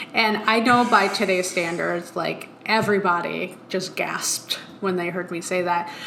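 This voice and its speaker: Amid noticeable background noise and audible room echo, a woman speaks at a moderate pace with medium pitch. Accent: Long Island. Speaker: motion design studio veteran, podcast co-host. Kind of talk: casual chat.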